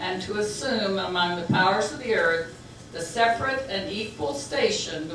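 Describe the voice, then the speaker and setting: A woman's speech, at a moderate pace and with ordinary pitch variation, comes over noticeable background noise. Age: 70s. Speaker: political activist. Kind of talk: reading a historic document aloud. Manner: dynamic, inspirational.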